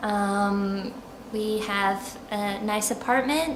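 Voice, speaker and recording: In an American accent, a woman speaks with fairly even intonation at a medium pitch, with audible room echo and noticeable background noise. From US South, Charleston, South Carolina. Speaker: expat interviewee. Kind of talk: interview. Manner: hesitant, many fillers.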